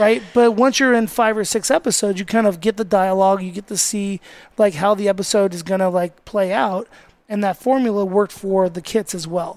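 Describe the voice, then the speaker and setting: In an American accent, a man talks fairly quickly at a high pitch with ordinary variation. The sound is dry and close, with no echo. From Las Vegas, US. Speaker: chef and restaurant owner. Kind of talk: casual chat. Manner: fast; animated.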